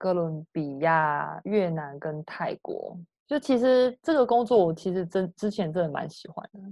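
Against a quiet background, a woman with a dark, mellow tone and medium pitch speaks at a fairly slow pace with hardly any pauses, lively intonation and big swings in loudness. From Taiwan. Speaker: remote worker in digital marketing. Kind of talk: interview.

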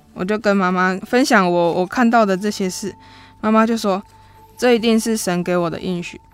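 Speaking at a moderate pace, a woman has a plain, everyday voice with a medium pitch and fairly even intonation. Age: 20s. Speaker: church pianist. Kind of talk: personal testimony.

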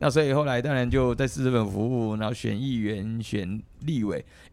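Medium in pitch with ordinary pitch variation, a man speaks in a plain, everyday voice. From Taiwan. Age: 50s. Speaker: politician, legislator. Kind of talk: casual chat.

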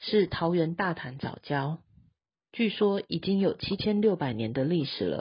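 A woman speaks fairly slowly with a Taiwanese accent, her fairly low voice somewhat breathy and swinging very widely in pitch. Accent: Taiwanese Mandarin. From Taiwan, Taichung. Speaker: news podcast host. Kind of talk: news reading.

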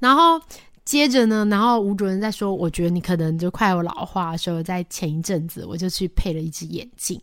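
Recorded very cleanly against a silent background, a woman talks at a fairly quick pace and medium pitch with ordinary pitch variation. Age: 40s. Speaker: radio host. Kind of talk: casual chat. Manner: halting.

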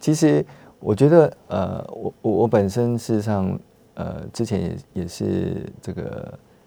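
A man's fairly low voice in a Taiwanese accent, with lively intonation and a very slow pace. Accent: Taiwanese Mandarin. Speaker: ophthalmologist. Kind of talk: medical interview. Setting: studio. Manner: halting, many fillers.

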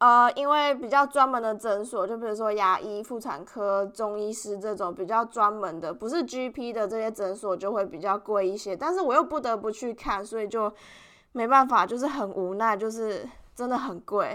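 Speaking with a Taiwanese accent, a woman has a bright, sharp tone at a fairly high pitch, with ordinary pitch variation and a moderate pace. The recording is very clean with a silent background. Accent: Taiwanese Mandarin. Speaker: podcast host, international student. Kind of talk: casual solo podcast monologue.

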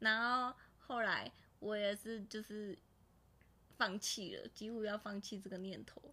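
With a bright, sharp tone, a woman talks at a fairly slow pace in a monotone, flat delivery, leaving long, frequent pauses as her loudness swings widely. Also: fairly high pitch for a woman. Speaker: podcast co-host. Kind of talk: casual chat.

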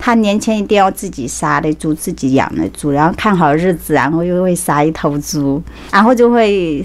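Over noticeable background noise, a woman with a very deep, low pitch speaks at a moderate pace with lively intonation and hardly any pauses. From Anhui, China. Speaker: beauty salon owner. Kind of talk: casual interview chat. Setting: studio.

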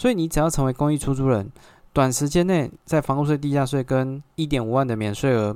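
A man with a Taiwanese accent and a fairly high pitch, speaking fairly quickly with ordinary pitch variation, on a very clean recording with a silent background. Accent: Taiwanese Mandarin. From Taiwan, Xinzhuang (New Taipei). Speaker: podcast host, real estate agent. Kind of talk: solo podcast monologue. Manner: hesitant, many filler particles.

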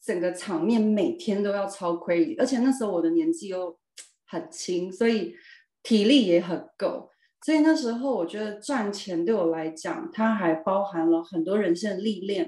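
A woman's medium-pitched voice, dark and mellow in tone, with very wide pitch swings at a moderate pace. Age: 40s. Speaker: former model sharing her life story. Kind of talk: interview testimony. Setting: video call.

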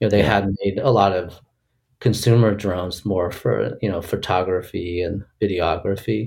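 In a very clean recording with a silent background, a man with an American accent speaks at a moderate pace in a somewhat breathy voice with fairly even intonation. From US, Boston area and San Francisco Bay Area. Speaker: tech startup co-founder and product executive. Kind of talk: interview. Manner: hesitant with many fillers.

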